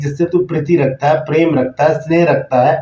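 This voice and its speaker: A man speaks in a dark, mellow tone. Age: 60s. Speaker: pastor. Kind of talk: sermon. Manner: halting.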